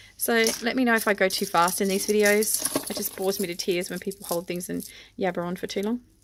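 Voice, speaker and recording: Speaking at a very fast pace with an Australian accent, a woman keeps a medium pitch and fairly even intonation. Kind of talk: unboxing haul video.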